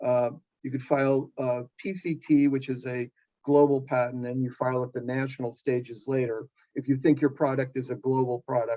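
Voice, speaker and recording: With a dark, mellow tone, a man talks at a fairly quick pace in monotone, flat intonation. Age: 60s. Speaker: inventor and entrepreneur. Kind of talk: Q&A advice talk at a member meeting. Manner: halting, many fillers.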